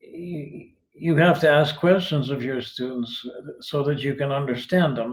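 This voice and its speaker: A somewhat breathy man speaks at a fairly slow pace and a fairly high pitch. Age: 80s+. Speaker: retired philosophy teacher, online writer. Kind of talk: interview answers. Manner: halting, many restarts.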